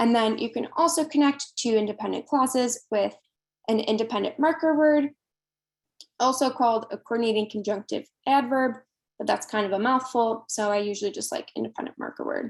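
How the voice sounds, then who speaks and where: Speaking in a normal speaking voice, a woman with a fairly high pitch and ordinary pitch variation talks at a fairly quick pace. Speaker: workshop presenter. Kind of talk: online workshop lecture.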